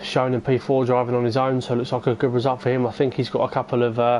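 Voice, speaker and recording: Against noticeable background noise, a man rattles along at a very fast pace in a medium pitch with monotone, flat intonation. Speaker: esports race commentator. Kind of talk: live commentary. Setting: live stream. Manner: casual, hesitant with fillers.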